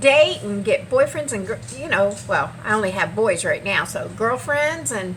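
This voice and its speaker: A woman talks at a moderate pace with hardly any pauses. Noticeable background noise can be heard. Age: 60s. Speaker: vlogger. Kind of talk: casual vlog monologue. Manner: casual, halting with fillers.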